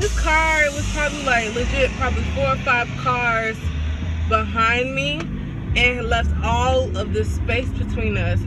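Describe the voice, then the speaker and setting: Over loud background noise, a woman talks at a fairly slow pace, the sound dry with no echo. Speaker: student vlogger. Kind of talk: casual vlog chat. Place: car. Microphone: phone near.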